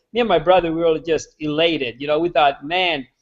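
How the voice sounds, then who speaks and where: The speaker talks at a fairly quick pace with a Hungarian accent. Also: man. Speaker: real estate agent. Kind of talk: storytelling in a live video interview. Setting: live online video hangout.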